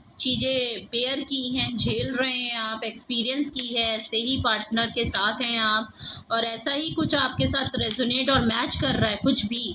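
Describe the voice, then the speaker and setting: A woman speaks at a high pitch and a fairly slow pace, with hardly any pauses. Her loudness stays very even and her intonation fairly even. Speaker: tarot reader. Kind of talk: tarot reading.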